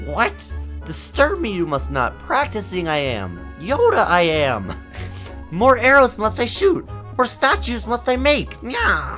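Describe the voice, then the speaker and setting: In a put-on character voice, the speaker shouts in a strained way at a fairly slow pace, with clear music in the background. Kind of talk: comic overacting. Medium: game stream.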